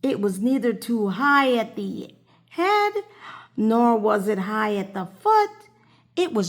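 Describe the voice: Here someone does plain reading aloud.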